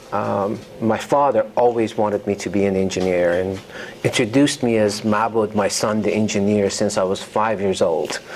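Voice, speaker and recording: Noticeable background noise accompanies a man whose voice is fairly low. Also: fairly even intonation, moderate pace. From Iran. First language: Persian. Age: 50s. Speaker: novelist. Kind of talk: author talk. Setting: university lecture hall with audience. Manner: hesitant, many fillers.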